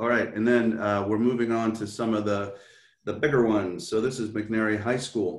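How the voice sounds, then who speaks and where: A man at a medium pitch and moderate pace, fairly even in intonation, with audible room echo. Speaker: school district official. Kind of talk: presentation.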